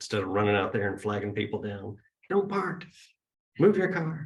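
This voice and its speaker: A man speaks at a medium pitch. His pitch swings very widely. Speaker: spiritual center leader opening the service. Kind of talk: service announcements and opening remarks. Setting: gathering with live audience and Zoom viewers.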